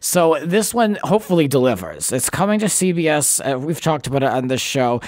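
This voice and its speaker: A man with an American accent speaks at a fairly quick pace in a fairly high voice, his intonation lively over noticeable background noise. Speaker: podcast host. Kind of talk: casual chat.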